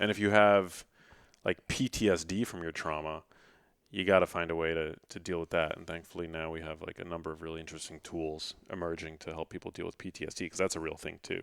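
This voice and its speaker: On a very clean recording with a silent background, a man talks at a very fast pace in a very deep, low pitch. His intonation is fairly even, but his loudness swings widely. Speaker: health and science journalist and author. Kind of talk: podcast interview. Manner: casual, many fillers.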